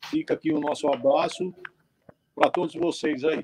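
Heard in a dry, close sound with no echo, a man with a high pitch speaks at a moderate pace with ordinary pitch variation. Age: 60s. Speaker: mule breeder and horseman. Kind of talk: casual interview on a live stream.

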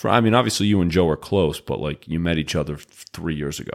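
A man with an American accent, his pitch swinging very widely. The recording is very clean, with a silent background. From Massachusetts. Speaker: podcast co-host and basketball coach. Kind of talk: casual chat.

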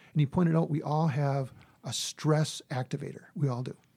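Somewhat breathy with a dark, mellow tone, a man speaks at a fairly high pitch with ordinary pitch variation in a very clean recording with a silent background. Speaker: conflict resolution consultant and mediator. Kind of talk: interview. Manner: fast.

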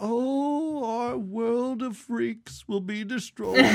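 Someone puts on a character voice at a fairly high pitch. The delivery is very slow. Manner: upset, complaining.

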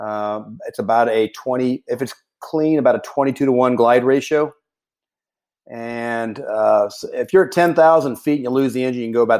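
With a Texan accent, a man talks at a moderate pace and medium pitch with ordinary pitch variation. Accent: Texan American. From Texas, Houston area. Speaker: military pilot. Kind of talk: interview. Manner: halting, many repetitions.

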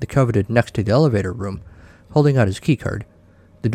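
Heard here is a natural reading voice.

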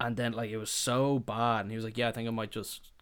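On a very clean recording with a silent background, a man with an Irish accent speaks in a medium-pitched voice. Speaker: podcast host. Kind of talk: casual chat. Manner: casual, swears often.

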